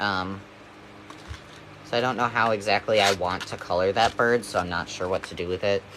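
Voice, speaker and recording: This man has a fairly low pitch. There is noticeable background noise. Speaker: livestreamer. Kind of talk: casual livestream chat. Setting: live stream. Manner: hesitant, many fillers.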